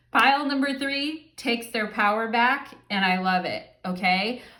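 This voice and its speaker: With audible room echo, a woman speaks at a fairly slow pace, her fairly high pitch carrying lively intonation. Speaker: tarot reader. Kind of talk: tarot reading monologue. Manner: casual, filler-heavy.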